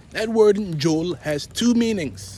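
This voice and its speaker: A man talks with a Cameroonian accent. His pitch swings very widely. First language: Basaa. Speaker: vlogger on African spirituality. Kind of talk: casual monologue vlog. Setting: on the way to work.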